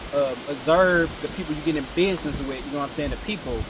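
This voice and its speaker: Amid noticeable background noise and audible room echo, a man talks at a fairly quick pace in a fairly high pitch with fairly even intonation. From Ohio, Cleveland area. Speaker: rapper. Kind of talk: interview.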